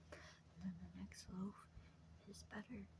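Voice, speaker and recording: Noticeable background noise sits behind a very slow delivery in a calm tone. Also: woman. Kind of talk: ASMR whispered ramble. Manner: whispered, soft-spoken, calm, reassuring.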